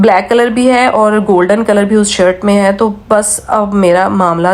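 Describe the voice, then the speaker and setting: A woman's voice with fairly even intonation amid noticeable background noise. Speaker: vlogger. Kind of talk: casual vlog talk.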